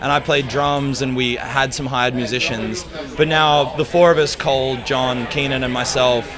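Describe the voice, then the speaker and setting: A man talks at a moderate pace with an Australian accent. Music plays in the background, and room echo is audible. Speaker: musician. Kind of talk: interview.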